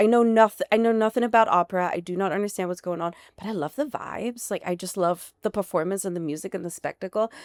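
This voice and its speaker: Speaking at a very fast pace with a slight German accent, a woman sounds animated at a medium pitch with ordinary pitch variation, in a very clean recording with a silent background and a dry, close sound with no echo. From Germany. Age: 40s. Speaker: founder of an alcohol-free bar. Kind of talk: casual interview.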